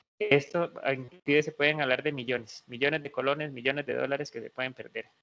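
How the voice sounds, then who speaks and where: Pitched fairly high, a man speaks in a bright, sharp tone with monotone, flat intonation and a dry, close sound with no echo. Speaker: veterinarian and university lecturer. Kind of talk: lecture. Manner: fast.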